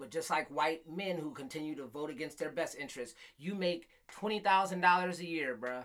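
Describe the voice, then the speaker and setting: With an American accent, a man with a fairly high pitch uses an unremarkable speaking voice at a moderate pace with ordinary pitch variation. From Michigan, Flint. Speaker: podcast host. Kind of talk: casual chat.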